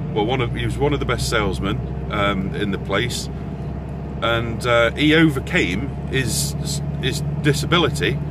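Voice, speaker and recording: A man's voice comes through dry with no echo over loud background noise. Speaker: vlogger. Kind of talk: casual vlog rant. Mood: exasperated ranting, frequent swearing. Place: car. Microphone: phone near.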